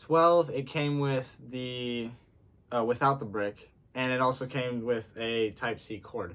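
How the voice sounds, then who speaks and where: A man speaks fairly slowly, and his intonation stays fairly even. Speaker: vlogger. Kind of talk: casual unboxing chat. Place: home room. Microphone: phone near.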